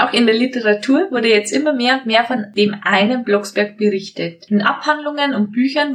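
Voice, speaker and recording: Lively intonation comes with a somewhat breathy quality. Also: woman. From Bavarian Forest, Bavaria. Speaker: podcast host. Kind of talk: podcast storytelling on history. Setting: recording together in one room.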